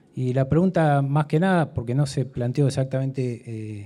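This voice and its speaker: A man talks with fairly even intonation in a dark, mellow tone. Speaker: audience member asking a question. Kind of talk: audience question at a debate. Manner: fast.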